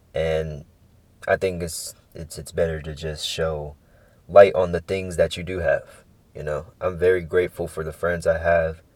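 A man at a fairly slow pace with big swings in loudness, on a very clean recording with a silent background. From San Francisco Bay Area, California. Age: 20s. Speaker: podcast host, college student. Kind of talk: casual solo monologue.

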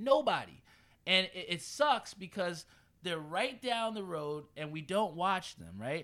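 A man with an American accent uses a raised, projected voice, high in pitch, with lively intonation and an animated tone. He talks at a fairly slow pace with big swings in loudness, on a very clean recording with a silent background. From New Jersey (Edison). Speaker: sports podcast host. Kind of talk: casual sports talk.

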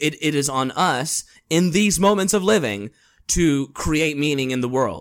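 A man's plain, everyday voice with an American accent, fairly high in pitch and at a fairly slow pace. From Los Angeles. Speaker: podcast guest. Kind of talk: casual chat.

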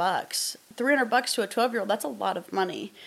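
This is a woman speaking. She has a Midwestern American accent. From US Midwest, southern Iowa. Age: 20s. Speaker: podcast host and outdoors influencer. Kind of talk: casual solo podcast talk. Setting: in front of a camera.

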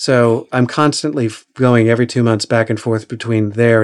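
Here a man speaks with an American accent in an unremarkable speaking voice at a medium pitch. His pace is moderate and his intonation fairly even. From Oklahoma. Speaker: audiobook narrator and acting coach. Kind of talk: interview.

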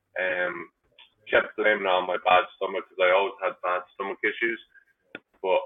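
With an Irish accent, a man speaks at a moderate pace. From Ireland. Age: 20s. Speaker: cancer survivor and bartender. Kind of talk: interview.

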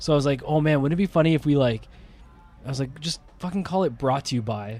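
Music plays in the background as a man with a Canadian accent speaks fairly quickly at a fairly high pitch. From Ontario, Canada. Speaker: wrestling promoter. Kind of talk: casual chat.

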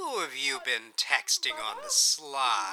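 A man uses a put-on character voice at a medium pitch. His bright, sharp tone swings very widely in pitch at a slow pace.

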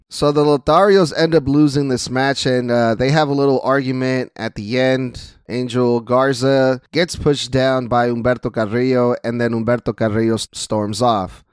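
A man with a Spanish accent at a medium pitch, hardly any pauses, a dry, close sound with no echo, and a very clean recording over a silent background. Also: fairly even intonation, moderate pace. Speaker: wrestling podcaster. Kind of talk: solo podcast recap. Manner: casual, conversational.

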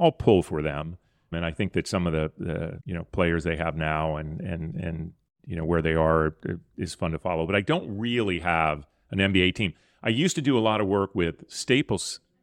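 A man with an American accent speaks at a moderate pace with a very deep, low pitch and ordinary pitch variation. The sound is dry and close with no echo, against a quiet background. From US, Southern California then Chicago area. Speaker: sponsorship marketing executive. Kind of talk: interview.

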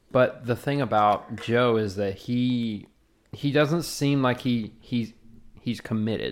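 Speaking with a Southern US accent, a man uses a medium pitch and fairly even intonation. His pace is very slow, and the recording is very clean with a silent background. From US South. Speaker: podcast host. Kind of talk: casual chat.

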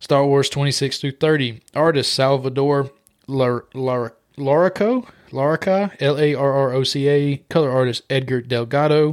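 In an unremarkable speaking voice, a man talks fairly slowly with fairly even intonation and a fairly high pitch. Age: 20s. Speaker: comic book podcast co-host. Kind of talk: casual chat.

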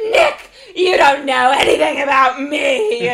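At a fairly slow pace, the speaker uses a high-pitched put-on character voice. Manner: sloppy, glamorous.

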